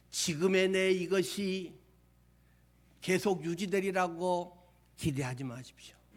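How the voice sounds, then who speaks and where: Spoken at a very slow pace with long, frequent pauses and ordinary pitch variation, the voice carries audible room echo. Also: man, high pitch for a man. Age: 60s. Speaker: pastor. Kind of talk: sermon.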